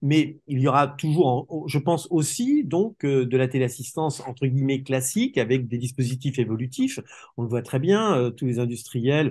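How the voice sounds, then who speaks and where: Medium pitch from a man, somewhat breathy, at a moderate pace against a quiet background. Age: 60s. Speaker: telecare industry expert. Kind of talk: interview. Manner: hesitant, many fillers and repetitions.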